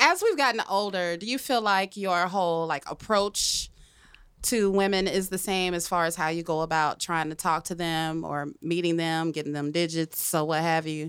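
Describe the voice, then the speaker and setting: In a very clean recording with a silent background, a woman speaks in a normal speaking voice. She has a fairly low pitch, a moderate pace and ordinary pitch variation. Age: 40s. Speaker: podcast host. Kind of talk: casual chat. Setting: studio.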